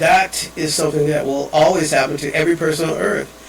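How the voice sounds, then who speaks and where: There is noticeable background noise behind this man. He talks at a moderate pace with a fairly high voice. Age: 70s. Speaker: father and evangelist. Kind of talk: personal video message. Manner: rambling, halting.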